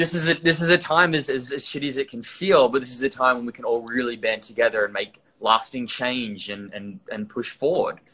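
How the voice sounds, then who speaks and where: With an Australian accent, a man at medium pitch talks fairly quickly in a bright, sharp tone, with ordinary pitch variation and hardly any pauses. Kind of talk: casual chat. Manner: halting.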